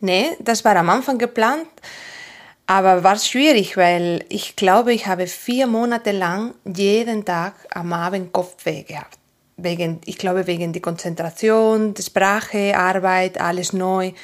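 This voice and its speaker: A woman with a Spanish accent and ordinary pitch variation. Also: medium pitch for a woman, fairly slow pace. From Asturias, northern Spain. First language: Spanish (speaking German). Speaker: physiotherapist. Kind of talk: interview. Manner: halting.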